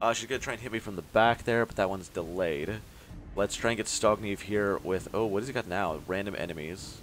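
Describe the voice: The words are read out plainly. It is straightforward reading aloud.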